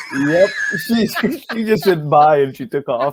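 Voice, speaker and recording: The pitch swings very widely in a dry, close sound with no echo. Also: man. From India. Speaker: wildlife conservationist. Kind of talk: interview. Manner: repeats words, many fillers.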